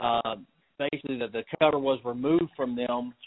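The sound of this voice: At a moderate pace, a man speaks with medium pitch and fairly even intonation. The sound is dry and close, with no echo.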